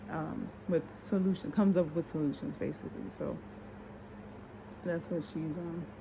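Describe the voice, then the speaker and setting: Marked by vocal fry, a woman's fairly low voice moves with lively intonation between long, frequent pauses. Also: moderate pace. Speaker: vlogger. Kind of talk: casual monologue vlog. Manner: slurred speech from tiredness; halting, stammering.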